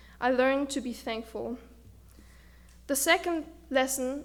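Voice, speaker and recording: Speaking in a German accent, a woman with a high pitch talks at a fairly slow pace. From Germany. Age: 20s. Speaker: student speaker. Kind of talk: speech. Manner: halting.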